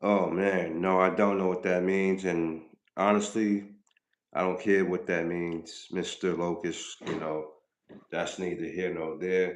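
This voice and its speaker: Very deep and low, this man's voice comes in a New York accent. He speaks at a fairly slow pace in a flat monotone. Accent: New York (Bronx). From Bronx, New York. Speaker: rapper and livestreamer. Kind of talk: live stream chat with viewers. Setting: live stream. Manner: casual, hesitant with fillers.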